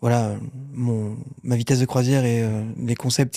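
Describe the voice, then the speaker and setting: On a very clean recording with a silent background, a man speaks in a dark, mellow tone at medium pitch with fairly even intonation. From Paris region, France (Argenteuil, Yvelines). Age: 40s. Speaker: burn survivor and content creator. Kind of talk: casual interview.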